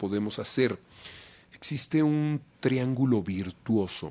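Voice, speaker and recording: With lively intonation and a medium pitch, a man talks at a fairly slow pace in a Mexican accent. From Mexico City. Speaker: voice actor; announcer. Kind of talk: interview answer.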